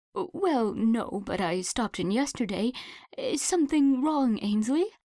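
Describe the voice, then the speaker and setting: Doing a put-on character voice, a woman speaks high and shaky at a moderate pace with very wide pitch swings, in a very clean recording with a silent background. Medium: read story. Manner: fretful, solicitous.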